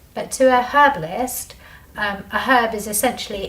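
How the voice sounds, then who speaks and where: Soft-spoken, the speaker talks at a moderate pace against noticeable background noise. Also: woman. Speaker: medical herbalist. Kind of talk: talk to a small group. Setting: small group meeting with audience.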